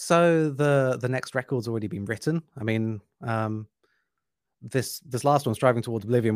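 A man talks with an English accent. The sound is dry and close, with no echo. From England. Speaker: metal musician. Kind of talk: casual interview.

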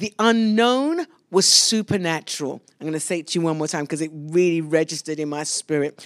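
A woman in a London accent with lively intonation, dry and close with no echo. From London, England. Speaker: pastor. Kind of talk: sermon. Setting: church service streamed live.

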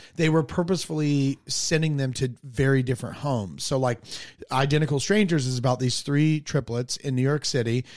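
An American-accented man speaks at a fairly quick pace in an unremarkable speaking voice, with a fairly high pitch and ordinary pitch variation. The recording is very clean, with a silent background. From North Carolina (Hickory). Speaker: stand-up comedian. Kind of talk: casual chat.

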